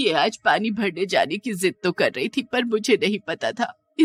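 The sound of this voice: Behind the voice, the background is quiet. It is an unforced reading voice whose pitch varies in an ordinary way.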